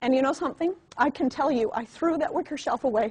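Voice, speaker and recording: The intonation is lively. The tone is animated. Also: woman. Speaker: network marketing trainer. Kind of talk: motivational training talk. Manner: fast.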